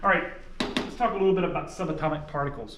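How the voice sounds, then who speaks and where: Amid noticeable background noise and audible room echo, a man talks at a high pitch. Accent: slight Southern US. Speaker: science teacher. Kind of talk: lecture. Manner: conversational, explanatory.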